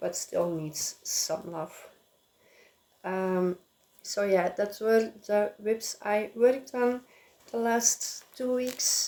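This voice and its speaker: A woman with a non-native accent speaks in a dark, mellow tone at a fairly high pitch, with ordinary pitch variation. Her pace is very slow, with long, frequent pauses. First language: not English. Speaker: crafting vlogger. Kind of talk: casual chat. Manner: halting, many filler sounds.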